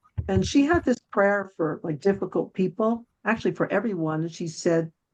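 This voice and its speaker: A woman with an ordinary speaking voice talks at a moderate pace, medium in pitch with ordinary pitch variation. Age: 60s. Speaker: guest speaker on spirituality and love. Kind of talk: interview testimony.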